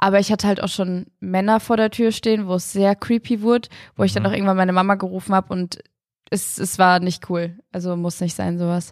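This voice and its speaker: A woman speaks fairly quickly at medium pitch in a monotone, flat intonation. The recording is very clean with a silent background. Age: 20s. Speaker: influencer and former gymnast. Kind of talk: casual interview.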